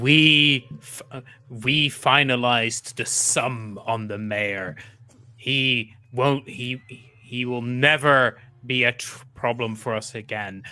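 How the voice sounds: A man of medium pitch uses a booming, put-on character voice. He talks at a fairly slow pace with fairly even intonation.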